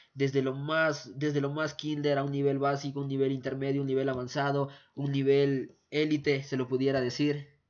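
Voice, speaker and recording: A man speaks in a fairly high pitch at a moderate pace. His intonation stays flat and monotone. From Ecuador. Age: 20s. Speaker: forex trading youtuber. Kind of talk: tutorial.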